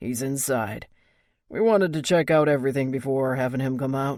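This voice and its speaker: A put-on character voice with a low-to-middle pitch at a fairly quick pace, on a very clean recording with a silent background. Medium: read story.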